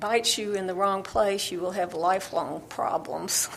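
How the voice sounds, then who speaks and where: With an Alabama accent, a woman speaks at a medium pitch. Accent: Southern US (Alabama). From US South, Alabama. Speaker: novelist. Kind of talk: interview.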